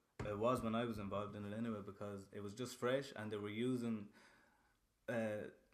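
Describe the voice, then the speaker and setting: A fairly low-pitched man with a western Irish accent at a fairly quick pace, with audible room echo. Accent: Irish (west of Ireland). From western Ireland (Castlerea, Roscommon). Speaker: rapper. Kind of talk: casual chat. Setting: studio. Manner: animated.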